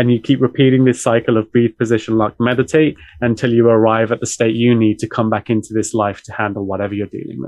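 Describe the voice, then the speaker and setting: A man rattles along at a very fast pace with hardly any pauses. His medium-pitched delivery is monotone and flat. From UK. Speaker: meditation teacher. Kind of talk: casual interview.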